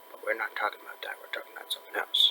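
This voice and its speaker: A man is soft-spoken here. Background noise is noticeable. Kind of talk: casual article discussion read aloud to camera.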